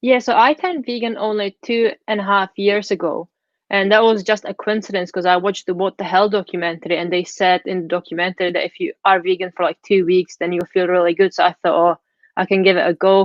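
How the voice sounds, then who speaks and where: A woman talks at a very fast pace. Her intonation is fairly even. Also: medium pitch for a woman. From Czech Republic. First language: Czech. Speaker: vegan food blogger. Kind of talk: interview.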